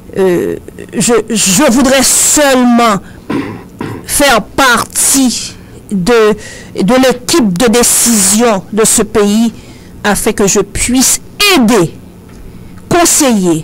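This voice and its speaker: Noticeable background noise sits behind a woman with a fairly high voice. She speaks very slowly with long, frequent pauses and very even loudness. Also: lively intonation. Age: 60s. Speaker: social activist and human resources specialist. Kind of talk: radio talk show interview. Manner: hesitant, many fillers.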